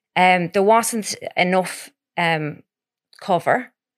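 The speaker is a woman. She has a west of Ireland accent. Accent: west of Ireland Irish. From Ireland, Ballina, County Mayo. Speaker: podcast co-host. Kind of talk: casual chat.

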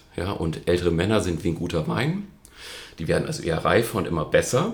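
Somewhat breathy and very deep and low in pitch, a man talks at a fairly quick pace with audible room echo. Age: 40s. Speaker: nutrition coach and speaker. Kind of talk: interview.

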